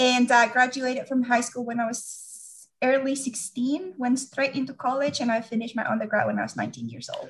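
With a Venezuelan accent, a woman speaks at a high pitch and a moderate pace with hardly any pauses. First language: Spanish. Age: 40s. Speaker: doctoral candidate and Lyme disease patient. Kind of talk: interview.

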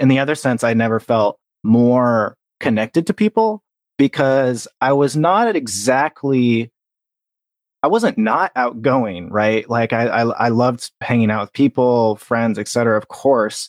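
A man with an unremarkable speaking voice talks at a fairly slow pace and medium pitch, with ordinary pitch variation, against a quiet background and a dry, close sound with no echo. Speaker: podcast producer. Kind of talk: interview.

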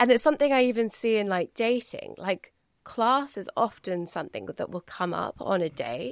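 A woman with a British accent speaks at a moderate pace. The recording is very clean with a silent background, and the sound is dry and close with no echo. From Britain. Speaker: podcast host. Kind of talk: casual chat.

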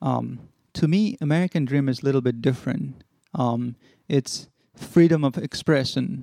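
A man speaks at a moderate pace in a fairly high pitch with ordinary pitch variation. His tone is dark and mellow, recorded dry and close with no echo. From Bhutan, grew up in refugee settlements in Nepal. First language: Nepali. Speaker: former refugee, city council candidate. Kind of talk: interview. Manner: hesitant, many fillers.

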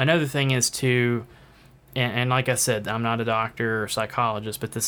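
A man speaks at a medium pitch with a bright, sharp tone and fairly even intonation, on a very clean recording with a silent background. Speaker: solo podcast host on marketing. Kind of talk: solo podcast monologue. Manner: halting, with stutters and filler words; casual, conversational.

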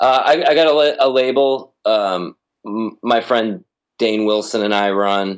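An unremarkable speaking voice, its pitch variation ordinary. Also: man. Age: 30s. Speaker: musician and indie label owner. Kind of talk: casual chat.

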